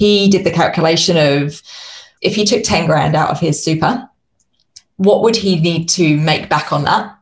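Her voice fairly low and somewhat breathy, a woman speaks at a moderate pace with ordinary pitch variation and very even loudness. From United Kingdom. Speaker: consultant and podcaster, former accountant. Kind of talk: casual interview chat.

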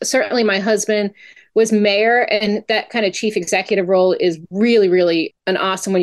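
Speaking at a fairly quick pace, a woman uses an unremarkable speaking voice at a medium pitch. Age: 40s. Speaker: state legislator and physical therapist. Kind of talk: interview.

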